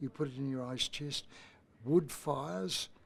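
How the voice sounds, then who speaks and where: Speaking fairly slowly, a man with an Australian accent uses a fairly high voice. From Australia, Brisbane. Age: 80s+. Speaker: youth program founder. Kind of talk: interview. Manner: halting, with many fillers.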